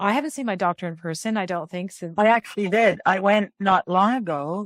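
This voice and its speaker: The recording is very clean with a silent background and a dry, close sound with no echo. A woman with a plain, everyday voice speaks at a fairly quick pace with ordinary pitch variation. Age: 50s. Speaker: podcast host. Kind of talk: casual podcast conversation.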